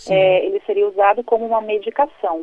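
At a fairly slow pace, a woman talks in an unremarkable speaking voice with a fairly high pitch. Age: 30s. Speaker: pro-life educator and speaker. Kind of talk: radio interview.

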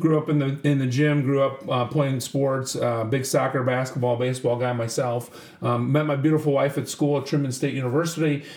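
A man talks at a fairly quick pace with hardly any pauses, his pitch fairly high, over noticeable background noise. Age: 40s. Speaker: school district superintendent. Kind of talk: casual interview. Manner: animated.

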